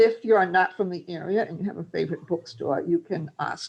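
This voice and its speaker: A woman with a Massachusetts accent speaks at a fairly quick pace, her pitch varying in an ordinary way. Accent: Fall River accent, close to Rhode Island. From Fall River, Massachusetts. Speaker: translator. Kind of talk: presentation with Q&A. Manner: halting.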